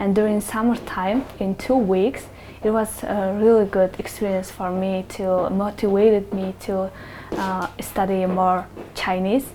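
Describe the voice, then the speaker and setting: Over noticeable background noise, a woman with a Mongolian accent speaks fairly slowly in a medium pitch with monotone, flat intonation. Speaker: human rights activist. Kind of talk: interview answers. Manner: halting.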